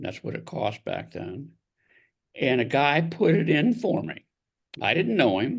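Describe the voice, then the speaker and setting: A man with an American accent speaks at a fairly slow pace in a fairly high pitch, with vocal fry, very wide pitch swings and long, frequent pauses. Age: 70s. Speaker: author and mental health advocate. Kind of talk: interview testimony.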